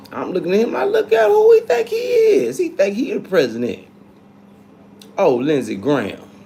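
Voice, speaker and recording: A man talks in an animated tone at a moderate pace over noticeable background noise. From North Carolina, US South. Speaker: livestreamer. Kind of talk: casual live chat. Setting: livestream.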